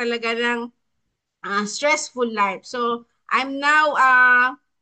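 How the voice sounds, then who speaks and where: A woman talks at a high pitch and a very slow pace. Her intonation stays fairly even. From Philippines, Batangas. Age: 50s. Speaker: wellness coach co-host. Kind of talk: testimony. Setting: online live stream. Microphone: laptop.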